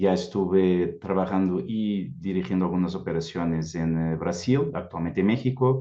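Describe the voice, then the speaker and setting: A man with a very deep, low voice talks at a moderate pace. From Portugal. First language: Portuguese (speaking Spanish). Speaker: recruitment executive. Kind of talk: panel discussion.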